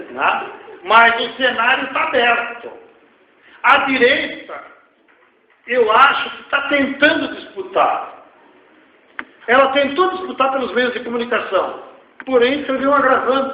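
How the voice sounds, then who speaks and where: Speaking at an extremely high pitch, a man goes at a fairly slow pace with ordinary pitch variation and long, frequent pauses. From Rio Grande do Sul, Brazil. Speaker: economist and social activist. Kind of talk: lecture Q&A answer. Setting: university auditorium. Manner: informal, blunt.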